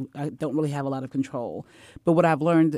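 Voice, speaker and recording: In a Texan accent, a woman speaks very fast with a very deep, low pitch and a dark, mellow tone, on a very clean recording with a silent background. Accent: Southern US, Texan. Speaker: school superintendent. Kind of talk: panel discussion.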